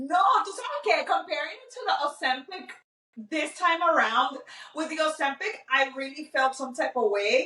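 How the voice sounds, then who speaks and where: A woman uses a raised, projected voice with a high pitch. Her pace is moderate and her pitch swings very widely. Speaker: podcast co-host. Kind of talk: casual chat. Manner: loud.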